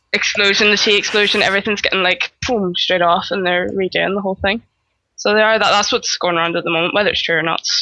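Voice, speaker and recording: Her bright, sharp voice stays very even in loudness as the woman talks very fast with monotone, flat intonation. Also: medium pitch for a woman. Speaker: guest, game guild raider and healer. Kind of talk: casual podcast discussion.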